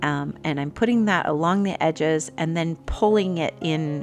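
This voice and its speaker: Music plays in the background as a woman with a very deep, low pitch speaks in a calm tone at a fairly slow pace, with ordinary pitch variation. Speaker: art teacher. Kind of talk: tutorial. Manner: halting.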